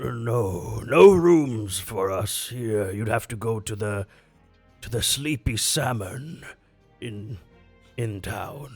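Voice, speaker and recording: In a put-on character voice, a man speaks very slowly with a raspy, medium-pitched sound while faint music plays in the background. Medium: actual play. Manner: relaxed, friendly.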